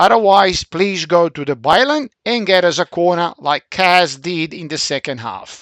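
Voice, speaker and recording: In a Central European accent, a man with a high pitch and lively intonation speaks with a dry, close sound and no echo on a very clean recording with a silent background. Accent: Middle European. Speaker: football coach. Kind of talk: video analysis for team. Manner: hesitant, with fillers.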